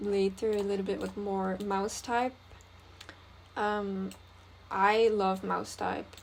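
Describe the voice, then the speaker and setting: A woman at medium pitch with a non-native accent. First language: not English. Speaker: graphic designer. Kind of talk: design tutorial think-aloud. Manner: casual, hesitant with fillers.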